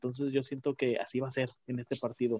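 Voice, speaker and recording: Here a man has a normal speaking voice at a medium pitch. He talks at a fairly quick pace. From Mexico, León, Guanajuato. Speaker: football fan guest. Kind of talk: casual chat.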